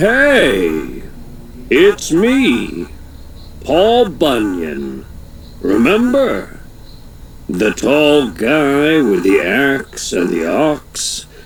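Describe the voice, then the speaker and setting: Against clear background noise, a man uses a put-on character voice at a very slow pace with long, frequent pauses. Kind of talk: tall tale. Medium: read story. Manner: folksy, chatty, tall-tale telling.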